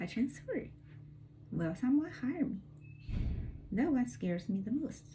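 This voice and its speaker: Slowish and marked by vocal fry, a woman's fairly high voice carries a dark, mellow tone and very wide pitch swings. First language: Chinese. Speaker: vlogger learning data analytics. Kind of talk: personal vlog to camera.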